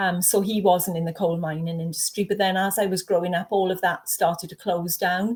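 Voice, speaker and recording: Speaking with a South Wales Valleys accent, the voice moves at a fairly quick pace with hardly any pauses, somewhat breathy and in a monotone, flat intonation. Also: woman, medium pitch for a woman. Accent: South Wales Valleys Welsh English. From Wales, South Wales Valleys. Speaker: horror author, retired teacher. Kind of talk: interview conversation.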